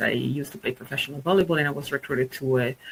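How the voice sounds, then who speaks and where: A woman speaks with an Italian accent. Her pace is very fast. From Italy. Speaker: market research executive and webinar speaker. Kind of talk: presentation.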